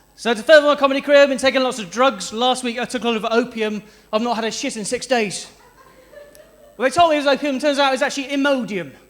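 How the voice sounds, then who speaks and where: Someone with a South West English accent speaks at a very fast pace with ordinary pitch variation over noticeable background noise. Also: man, extremely high pitch for a man. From South West England (Stroud, near Bristol). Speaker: stand-up comedian. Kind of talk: stand-up. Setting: stage with audience.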